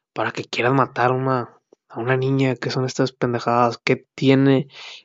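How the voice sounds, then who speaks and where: Medium in pitch, a man speaks with a monotone, flat intonation. His pace is moderate. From Mexico, Sinaloa (Culiacán). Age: 20s. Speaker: podcaster. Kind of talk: casual monologue. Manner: halting.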